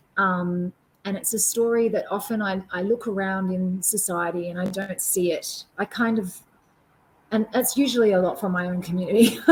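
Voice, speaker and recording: This woman has an Australian accent and a medium pitch. She talks at a moderate pace with fairly even intonation. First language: Auslan (sign language). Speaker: performance artist. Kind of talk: Q&A after keynote. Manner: hesitant, many fillers.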